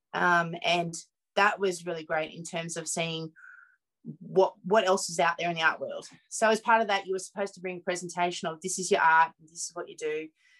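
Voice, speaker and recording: This woman speaks fairly quickly in a rural Australian accent, with a fairly low pitch. Her intonation stays monotone and flat, while her loudness swings a lot. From Mudgee, central west New South Wales, Australia. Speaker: artist and curator. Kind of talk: interview.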